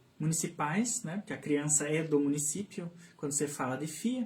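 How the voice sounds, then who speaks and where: Somewhat breathy, a man speaks at a fairly high pitch with ordinary pitch variation. His pace is fairly slow. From southern Brazil, Santa Catarina (Canoinhas, São Bento do Sul). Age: 30s. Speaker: speech therapist and children's book author. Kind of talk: interview on live radio/stream. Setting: radio studio live stream. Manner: hesitant, many fillers and repetitions.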